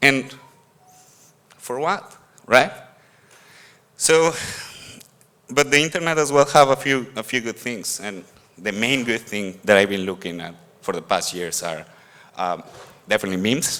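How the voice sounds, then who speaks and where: A man with a Mexican accent and medium pitch talks at a moderate pace, leaving long, frequent pauses. His tone is bright and sharp, with big swings in loudness and very wide pitch swings. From Mexico. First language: Spanish. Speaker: conference speaker. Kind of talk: conference talk. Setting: stage with audience. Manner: halting, with repetitions.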